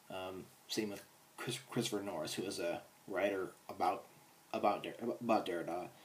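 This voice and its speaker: The man's voice sits fairly low and moves at a moderate pace. His intonation is monotone and flat, broken by long, frequent pauses. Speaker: philosophy video creator. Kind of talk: casual explainer monologue. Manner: halting.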